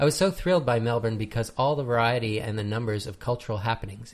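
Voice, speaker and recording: Somewhat breathy, a man speaks at a medium pitch with a Canadian accent. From Canada. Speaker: podcast host. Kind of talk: casual chat.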